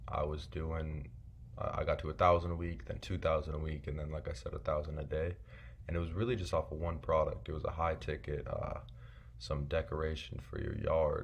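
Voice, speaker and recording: Fairly quick speech from a man, audible room echo around it. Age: 20s. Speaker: online seller vlogger. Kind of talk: casual vlog monologue. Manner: casual, filler-heavy.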